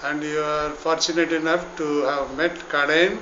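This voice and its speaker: A man speaks with a fairly high pitch. Background noise is noticeable. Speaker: interviewer, movement secretary general. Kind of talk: interview question.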